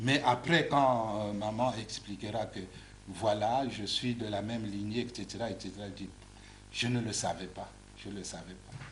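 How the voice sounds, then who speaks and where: With audible room echo and noticeable background noise, a man at a fairly low pitch speaks at a moderate pace with fairly even intonation and big swings in loudness. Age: 60s. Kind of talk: TV interview. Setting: TV studio. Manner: repetitive stammering on words.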